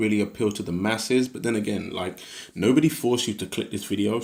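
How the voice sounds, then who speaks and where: A man with a British accent speaks in a fairly low voice. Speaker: video creator. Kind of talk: casual, jokey.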